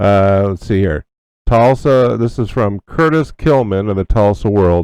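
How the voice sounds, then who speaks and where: Over a quiet background, a man talks at a very slow pace with a fairly low pitch and lively intonation, the sound dry and close with no echo. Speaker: radio host. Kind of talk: news commentary. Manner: casual, halting.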